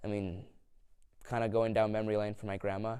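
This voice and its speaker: On a very clean recording with a silent background, a man with a fairly low pitch and a dark, mellow tone speaks in a flat monotone at a moderate pace. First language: Lithuanian. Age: 20s. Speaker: interviewee on culture. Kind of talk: interview. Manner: hesitant, many fillers.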